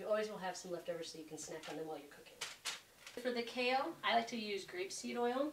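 Very fast speech in an American accent, with very wide pitch swings and big swings in loudness over noticeable background noise. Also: woman, medium pitch for a woman. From Boulder, Colorado; Colorado. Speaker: home cook, culinary school applicant; home cook demonstrating recipe. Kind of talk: cooking tutorial. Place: kitchen. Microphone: camera far.

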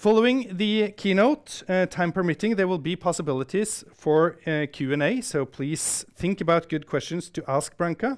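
A man's high voice with lively intonation, at a moderate pace with hardly any pauses, against a quiet background. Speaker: research institute director and event host. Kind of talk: formal welcome speech and Q&A moderation. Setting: stage with audience, live-streamed. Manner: formal. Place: hall. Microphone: lapel.

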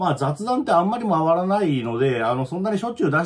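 Against a quiet background, a man talks at a very fast pace, his pitch swinging very widely. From Japan. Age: 40s. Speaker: video channel host, trucker and career coach. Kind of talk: casual chat monologue. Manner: rambling, filler-heavy, self-deprecating. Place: home room. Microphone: phone near.

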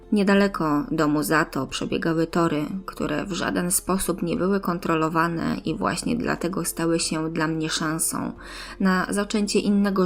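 A woman speaks at a fairly slow pace with a fairly low pitch and ordinary pitch variation, over noticeable background noise. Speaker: audiobook narrator. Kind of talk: audiobook-style story narration.

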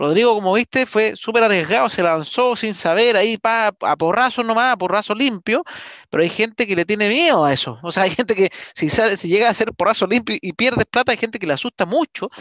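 A man with a Chilean accent talks at a fairly quick pace in a high pitch for a man, his intonation lively, the sound dry with no echo and the background quiet. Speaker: real estate investment podcaster. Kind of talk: live-streamed interview podcast. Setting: online live stream. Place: home room. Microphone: headset.

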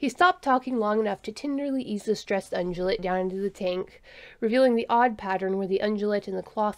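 The voice reads naturally, its pitch moving in an ordinary way.

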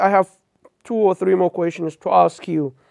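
Against a quiet background, someone speaks with a Somali accent and ordinary pitch variation. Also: man. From Somalia. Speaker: TV interviewer. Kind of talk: interview. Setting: studio. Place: studio. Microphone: lapel.

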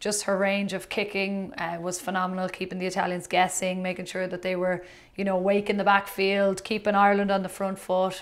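At a fairly quick pace, a woman speaks in a monotone, flat intonation with hardly any pauses. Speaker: podcast co-host. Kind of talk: interview answer. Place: studio.

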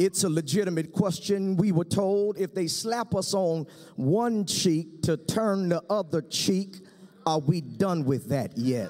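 Music plays in the background as a man with a high pitch speaks at a fairly slow pace with ordinary pitch variation. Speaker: pastor. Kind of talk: sermon. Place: stage. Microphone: podium.

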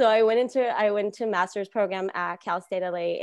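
A woman speaks with an American accent at a moderate pace and ordinary pitch variation. The sound is dry with no echo, over a quiet background. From Los Angeles area, California (Lynwood); California. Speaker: archivist; panelist. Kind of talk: panel discussion. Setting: video call. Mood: warm, reflective. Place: home room. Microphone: earbuds.

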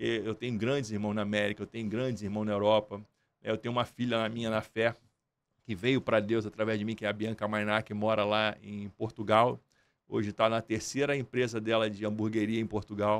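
The man's pitch sits fairly low. He talks at a fairly quick pace. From Brazil, Nova Iguaçu (Baixada Fluminense, Rio de Janeiro); Rio de Janeiro, Brazil. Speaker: entrepreneur and music promoter; podcast guest. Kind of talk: interview. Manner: animated. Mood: earnest, faith-driven. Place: studio. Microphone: studio mic.

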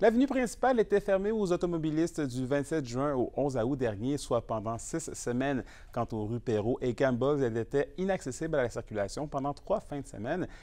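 Hardly pausing, a man talks with lively intonation, a fairly high pitch and a dark, mellow tone. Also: moderate pace. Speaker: news anchor. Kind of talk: formal newsreading. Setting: studio. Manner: formal.

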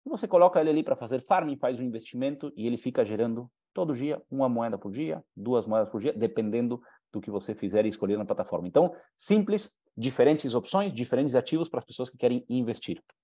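Against a quiet background, a man with a Uruguayan accent speaks at a very fast pace in a dark, mellow tone with lively intonation. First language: Spanish (speaking Portuguese). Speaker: business presenter; presenter. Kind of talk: sales pitch. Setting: live online conference. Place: home room. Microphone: headset.

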